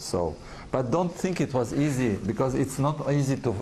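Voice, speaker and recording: A man speaks with a French accent. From France. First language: French and Russian. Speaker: advertising executive. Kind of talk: interview. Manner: halting.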